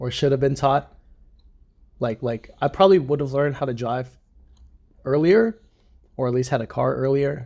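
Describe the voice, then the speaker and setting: The voice has a dark, mellow tone and ordinary pitch variation at a moderate pace. Long pauses come often. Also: man, medium pitch for a man. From Washington DC. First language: Vietnamese. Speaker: marine. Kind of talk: casual interview. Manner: hesitant, filler-heavy.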